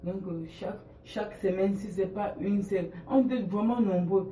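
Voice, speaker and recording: A man's high-pitched voice with fairly even intonation, amid audible room echo and noticeable background noise. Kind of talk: testimony. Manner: halting.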